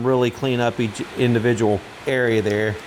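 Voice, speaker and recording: A man with a medium pitch speaks against noticeable background noise. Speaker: DIY tool repair youtuber. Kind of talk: tutorial. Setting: workshop with metal roof. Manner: casual with fillers; loud.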